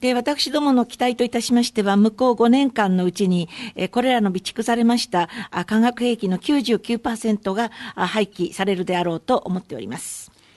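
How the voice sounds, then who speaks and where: A woman with a plain, everyday voice talks at a moderate pace and a fairly high pitch, with ordinary pitch variation. The sound is dry and close with no echo, and the background is quiet. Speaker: conference interpreter. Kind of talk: consecutive interpretation. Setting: press conference. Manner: formal.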